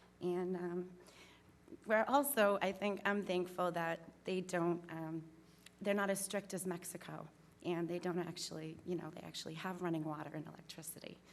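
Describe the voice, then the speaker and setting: In a room with audible echo, a woman with an eastern Massachusetts accent speaks at a moderate pace, with fairly low pitch and fairly even intonation. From Massachusetts, North Plymouth. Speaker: applicant for town commission. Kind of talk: public comment at town meeting. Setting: town meeting hall, at podium. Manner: hesitant, many ums.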